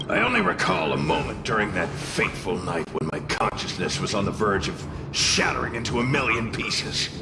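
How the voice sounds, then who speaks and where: A man puts on a cartoonish character voice amid loud background noise and a clear echo. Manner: sardonic, drawling.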